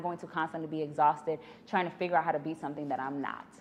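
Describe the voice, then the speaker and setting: In a New York accent, a woman with a fairly low voice speaks in an animated tone. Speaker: business podcaster, entrepreneur. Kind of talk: podcast monologue.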